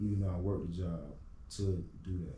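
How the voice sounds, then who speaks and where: Very deep, low-pitched man with an American accent, fairly quick pace, audible room echo. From US South. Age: 30s. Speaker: interview guest. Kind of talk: casual interview. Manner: halting.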